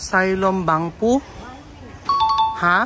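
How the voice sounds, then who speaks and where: A woman speaking at a very slow pace. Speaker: travel vlogger. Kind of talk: travel vlog. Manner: loud; animated.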